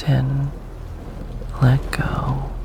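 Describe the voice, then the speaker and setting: The delivery is very slow. Noticeable background noise runs underneath. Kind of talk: hypnotic ASMR monologue. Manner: slow, hushed, dominant.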